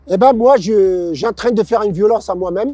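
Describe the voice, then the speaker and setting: Over music in the background, a man talks in a high pitch with ordinary pitch variation, recorded dry and close with no echo. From Morocco, Casablanca. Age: 60s. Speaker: former boxer, long-distance cyclist. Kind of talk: interview. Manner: halting, many hesitations.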